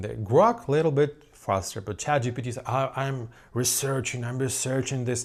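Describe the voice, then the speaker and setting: A man of medium pitch with a non-native accent at a fairly slow pace, on a very clean recording with a silent background. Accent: foreign-accented English. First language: not English. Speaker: synth producer and YouTuber. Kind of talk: casual vlog monologue. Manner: halting; animated.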